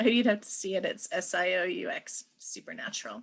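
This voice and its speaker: A woman's normal speaking voice with an American accent, at a fairly slow pace with ordinary pitch variation. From Pacific Northwest, United States. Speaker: writer and poet. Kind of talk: lecture talk.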